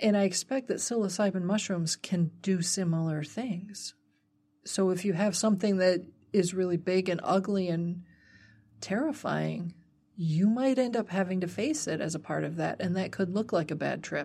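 In a quiet background, a woman speaks at a moderate pace with a medium pitch and ordinary pitch variation. Her tone is dark and mellow and somewhat breathy. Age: 40s. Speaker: herbalism podcast co-host. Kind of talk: casual chat. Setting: studio.

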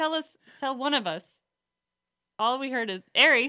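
A woman's voice has a bright, sharp tone and lively intonation. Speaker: guest friend of hosts. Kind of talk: casual chat.

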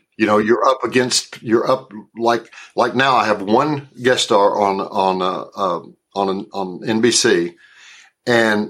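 A man with a Southern accent, fairly slow and fairly even in intonation, on a very clean recording with a silent background. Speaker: actor. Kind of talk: interview. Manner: halting, many repeated words.

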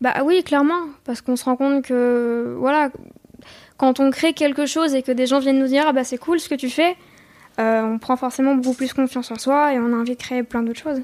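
This woman has a high-pitched voice. She talks at a fairly quick pace. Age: 20s. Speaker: singer-songwriter. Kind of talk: interview. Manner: hesitant, many fillers.

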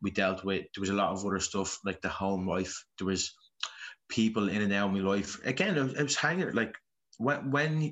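A man with a Dublin accent speaks in a fairly low voice. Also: ordinary pitch variation, moderate pace. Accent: Dublin Irish. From Dublin, Ireland (Ballymun). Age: 30s. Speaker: Gaelic footballer. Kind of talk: personal testimony interview.

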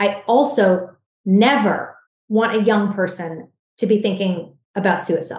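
Somewhat breathy, this woman's voice carries ordinary pitch variation. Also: medium pitch for a woman, fairly slow pace. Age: 40s. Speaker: skincare entrepreneur. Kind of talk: interview.

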